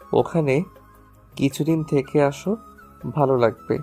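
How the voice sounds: Faint music sits behind a woman doing a put-on character voice, extremely low-pitched with a dark, mellow tone, ordinary pitch variation and a fairly slow pace.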